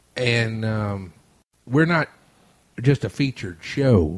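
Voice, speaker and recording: In a very clean recording with a silent background, a man with a Louisiana accent speaks in a medium pitch, somewhat breathy, with lively intonation. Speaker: radio host. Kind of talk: casual chat. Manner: stuttering.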